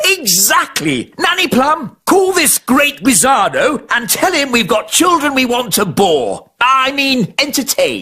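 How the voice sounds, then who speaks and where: This cartoonish character voice is high-pitched and fairly slow, with hardly any pauses. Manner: pompous, fussy.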